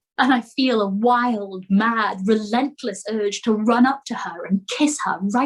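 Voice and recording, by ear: Someone reads aloud. It is in a natural voice.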